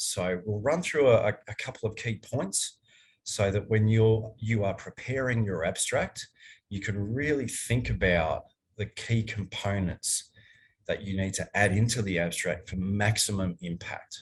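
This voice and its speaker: A man with an Australian accent, fairly low in pitch and somewhat breathy, at a fairly slow pace with ordinary pitch variation. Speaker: archaeologist, workshop presenter. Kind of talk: online academic workshop lecture. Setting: online workshop.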